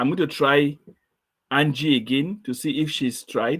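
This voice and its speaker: This man's voice sits fairly high, with ordinary pitch variation. His pace is fairly slow. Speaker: quiz show host. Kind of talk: online session test run. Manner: slow, deliberate.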